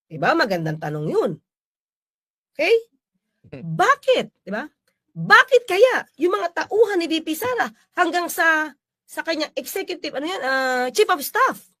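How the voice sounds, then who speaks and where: A woman's extremely high, bright, sharp, raised and projected voice, fairly slow, with very wide pitch swings, big swings in loudness and long, frequent pauses. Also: dry, close sound with no echo. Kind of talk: commentary.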